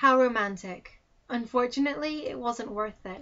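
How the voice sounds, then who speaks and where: This woman has a fairly high pitch and an ordinary speaking voice. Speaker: spoken word poet. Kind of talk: spoken word poetry.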